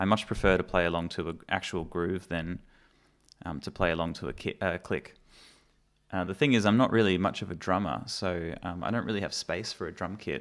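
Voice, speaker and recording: Very deep and low in pitch, a man with an Australian accent speaks at a fairly quick pace on a very clean recording with a silent background. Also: ordinary pitch variation. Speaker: musician and mixing engineer. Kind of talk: live stream tutorial. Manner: casual, hesitant with many fillers.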